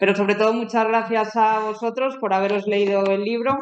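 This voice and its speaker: A woman's flat, monotone intonation holds through her moderate-paced speech. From Galicia, Spain. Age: 30s. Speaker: novelist and journalist. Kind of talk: author talk at a school.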